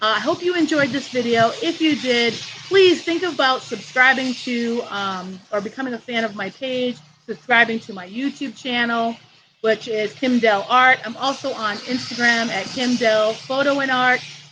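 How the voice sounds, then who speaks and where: This woman is loud, with a high pitch and ordinary pitch variation. She keeps a moderate pace. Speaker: art teacher. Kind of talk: live tutorial wrap-up. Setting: outdoors on vacation, livestream.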